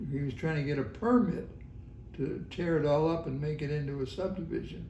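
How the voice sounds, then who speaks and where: Audible room echo surrounds a man speaking at a fairly high pitch with ordinary pitch variation. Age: 90s. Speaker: longtime resident. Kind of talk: oral history interview. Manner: halting.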